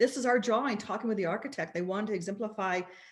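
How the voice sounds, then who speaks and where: Somewhat breathy and animated in tone, a woman speaks at a medium pitch with lively intonation. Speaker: sales executive presenting products. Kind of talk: sales presentation. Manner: fast.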